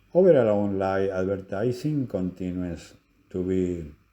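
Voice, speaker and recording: A man with a Spanish accent talks at a moderate pace. His pitch is very deep and low, and his tone is dark and mellow. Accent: Spanish accent, noticeable. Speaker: lecturer. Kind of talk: lecture. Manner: halting.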